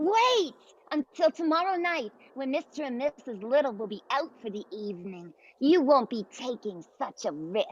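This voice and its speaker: A female-sounding voice in a put-on character voice, high-pitched, at a moderate pace. The pitch swings very widely. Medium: audio drama. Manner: stammering, hesitant.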